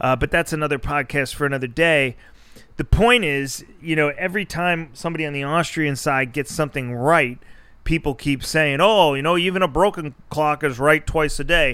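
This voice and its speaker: Fairly high-pitched, a man speaks with ordinary pitch variation. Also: moderate pace. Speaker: podcast host. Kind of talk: solo rant podcast. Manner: animated.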